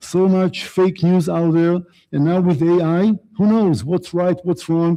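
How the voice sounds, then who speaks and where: A man with an Israeli accent speaks in a high pitch with a dark, mellow tone against a quiet background. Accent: Israeli accent, noticeable. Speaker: guest speaker on the Middle East. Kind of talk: lecture. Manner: fast.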